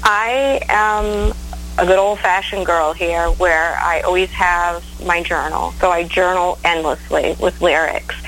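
Music plays in the background as a woman with an American accent speaks at a fairly slow pace. Her loudness stays very even. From Maine, US. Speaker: blues singer-songwriter. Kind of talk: interview. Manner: hesitant, many fillers.

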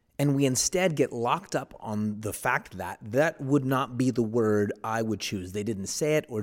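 A man with an American accent and a plain, everyday voice talks at a moderate pace with hardly any pauses, using a medium pitch and ordinary pitch variation, on a very clean recording with a silent background. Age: 40s. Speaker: pastor. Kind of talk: reflective monologue.

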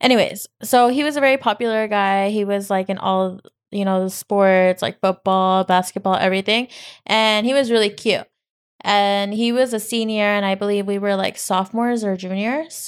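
A woman's medium-pitched, fairly even delivery in an ordinary speaking voice. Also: moderate pace, very clean recording, silent background. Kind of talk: casual chat. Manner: bantering, sarcastic.

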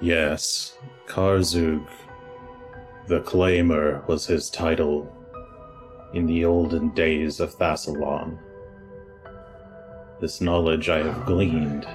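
Over clear music in the background, a man does a rumbling, put-on character voice at a very slow pace. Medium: actual play. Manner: terse, formal, archaic phrasing.

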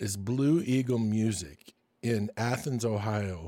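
A man speaks with ordinary pitch variation. The recording is very clean, and the background is silent. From US Midwest, Michigan. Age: 60s. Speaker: podcast host. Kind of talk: podcast monologue and interview.

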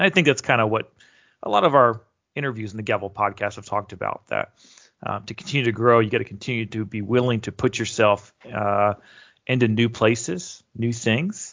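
With a normal speaking voice, a man talks at a fairly quick pace in a medium pitch, using ordinary pitch variation. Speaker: departing communications director. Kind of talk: casual chat.

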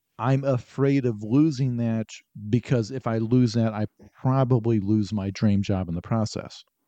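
Against a quiet background, a man with an American accent talks at a moderate pace in a medium-pitched, dark, mellow voice with fairly even intonation, and the sound is dry and close, with no echo. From US Midwest, southern Illinois. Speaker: novelist. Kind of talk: casual interview.

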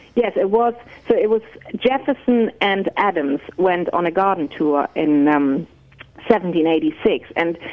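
Against noticeable background noise, a woman speaks at a moderate pace with a medium pitch and lively intonation. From Germany. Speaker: garden historian and author. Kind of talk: interview. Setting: phone call.

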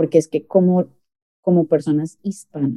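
Pitched very deep and low, a woman's voice moves at a fairly quick pace. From Colombia. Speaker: sales director. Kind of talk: interview. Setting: video call. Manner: halting.

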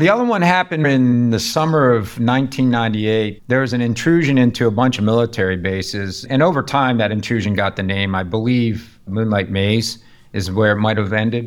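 A man speaks at medium pitch in an ordinary speaking voice, with an American accent. He hardly pauses at all. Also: ordinary pitch variation, fairly quick pace. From US Northeast (Pittsburgh, Rochester NY). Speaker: cybersecurity company founder and CEO. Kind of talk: interview, personal story.

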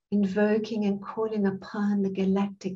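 A somewhat breathy woman with a South African accent, medium pitch, dark, mellow tone, and monotone, flat intonation at a very slow pace. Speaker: spiritual teacher and channel. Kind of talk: guided meditation.

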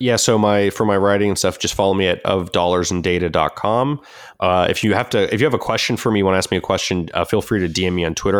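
A man speaks with an American accent and fairly even intonation. His pitch is very deep and low. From Southern California. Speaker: finance blogger and author. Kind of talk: interview.

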